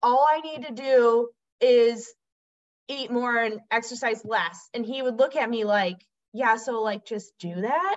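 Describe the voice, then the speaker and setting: In a plain, everyday voice, a woman talks at a fairly slow pace with a fairly high pitch and ordinary pitch variation. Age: 30s. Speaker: former middle school teacher and recovered client. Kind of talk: personal testimony in interview.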